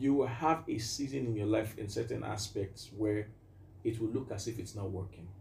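A somewhat breathy voice moves at a moderate pace with ordinary pitch variation. Audible room echo surrounds it. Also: man, fairly low pitch for a man. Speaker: music producer and minister. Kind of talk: casual interview.

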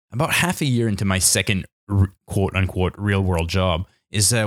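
In a very clean recording with a silent background and a dry, close sound with no echo, a man with a Canadian accent uses an ordinary speaking voice with fairly low pitch. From New Brunswick, Canada. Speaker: podcast host, engineer. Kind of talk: solo podcast monologue.

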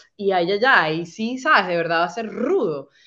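Lively intonation and a fairly quick pace from a woman with an unremarkable speaking voice. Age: 30s. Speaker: podcaster sharing faith testimony. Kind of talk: testimony.

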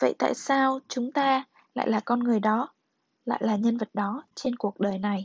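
A woman at a very slow pace, fairly high in pitch, with very even loudness and fairly even intonation. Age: young. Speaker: podcast host. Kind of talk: reading aloud; casual monologue.

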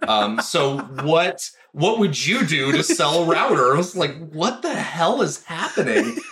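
With noticeable background noise behind him, a man at a high pitch speaks at a very slow pace, with hardly any pauses, very even loudness and very wide pitch swings. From New Mexico, Four Corners area. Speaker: writer and actor. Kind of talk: casual interview conversation.

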